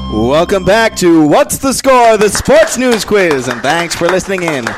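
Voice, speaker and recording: A man with a high pitch speaks at a moderate pace with very wide pitch swings as crowd noise plays in the background. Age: 20s. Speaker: quiz master. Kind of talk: game show hosting. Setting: studio.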